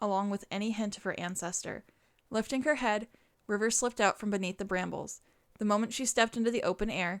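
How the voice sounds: A natural reading voice is used. Its intonation keeps fairly even.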